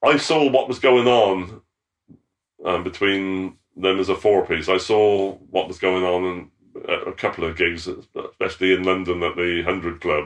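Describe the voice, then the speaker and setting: Speaking in a West Country accent, a man uses a very deep, low pitch at a moderate pace with ordinary pitch variation. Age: 70s. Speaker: former band roadie. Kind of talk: interview. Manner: halting.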